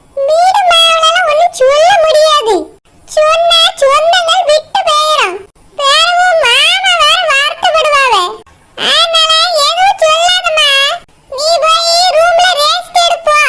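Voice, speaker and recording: A woman uses a put-on character voice at an extremely high pitch with very wide pitch swings. She speaks very slowly, with very even loudness. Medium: comedy sketch. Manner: warm, fussing.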